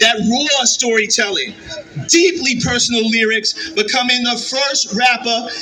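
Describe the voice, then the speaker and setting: With a New York accent, a man uses a raised, projected voice at an extremely high pitch with ordinary pitch variation, over noticeable background noise. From Yonkers, New York. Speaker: county executive. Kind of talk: public speech.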